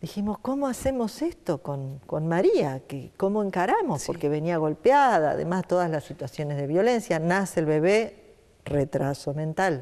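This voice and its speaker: The voice has a dark, mellow tone and very wide pitch swings, moving at a moderate pace. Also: woman, fairly low pitch for a woman. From Santa Fe, Argentina. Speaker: nonprofit foundation director; interview guest. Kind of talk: interview. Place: studio. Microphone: lapel.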